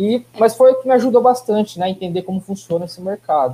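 A man speaks in a dark, mellow tone. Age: 30s. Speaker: business intelligence planning manager. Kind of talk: live webinar interview.

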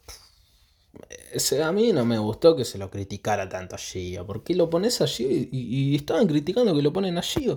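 With a Rioplatense accent, a man talks at a moderate pace in a dark, mellow, somewhat breathy tone, his pitch swinging very widely. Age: 20s. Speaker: football podcast host. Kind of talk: casual solo commentary.

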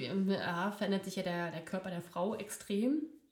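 A woman's voice amid noticeable background noise. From near Berlin. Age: 30s. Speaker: occupational therapist. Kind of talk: casual chat. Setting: living room. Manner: halting, many fillers.

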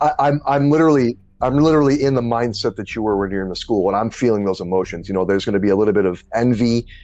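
A man speaks very fast, with hardly any pauses. His pitch is medium with ordinary variation, and his tone is dark and mellow. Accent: American. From New Orleans and Detroit. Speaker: podcast host. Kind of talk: casual interview.

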